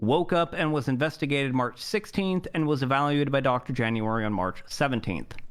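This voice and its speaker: A man with an ordinary speaking voice talks at a moderate pace with a fairly high pitch and lively intonation, in a very clean recording with a silent background. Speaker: roleplay streamer playing a judge. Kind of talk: roleplay courtroom monologue.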